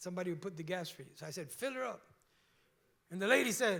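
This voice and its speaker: Speaking in a strong Cuban accent, a man sounds animated, his pitch swinging very widely. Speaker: pastor. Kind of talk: sermon. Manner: conversational, animated.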